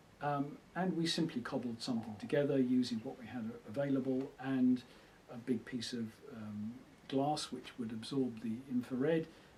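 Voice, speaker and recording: Somewhat breathy and dark, mellow in tone, a man speaks at medium pitch and a moderate pace with fairly even intonation and big swings in loudness. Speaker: retired electronics engineer. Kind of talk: oral history interview. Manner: hesitant, with many fillers.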